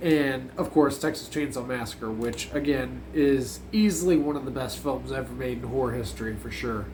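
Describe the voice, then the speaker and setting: With hardly any pauses, a man speaks amid audible room echo. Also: moderate pace. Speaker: horror movie reviewer. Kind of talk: casual video review. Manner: casual, filler-heavy.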